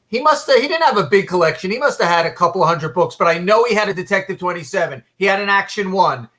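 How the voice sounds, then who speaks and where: Raising and projecting his voice, a man speaks at a very fast pace with a high pitch and lively intonation. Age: 60s. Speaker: comic book collector. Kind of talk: casual chat. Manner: halting, many fillers.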